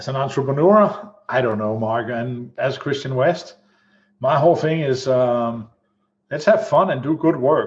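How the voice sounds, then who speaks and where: This man talks at a fairly slow pace in a fairly high, somewhat breathy voice with lively intonation. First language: not English. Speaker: executive protection entrepreneur. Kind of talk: casual interview chat.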